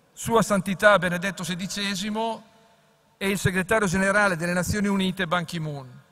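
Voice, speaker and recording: A man uses a raised, projected voice with a high pitch and fairly even intonation. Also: moderate pace. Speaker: foreign minister. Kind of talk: formal welcome speech. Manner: formal.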